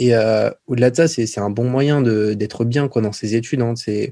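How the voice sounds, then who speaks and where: This man speaks at a medium pitch with a dark, mellow tone and fairly even intonation. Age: 20s. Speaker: YouTuber. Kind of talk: casual chat.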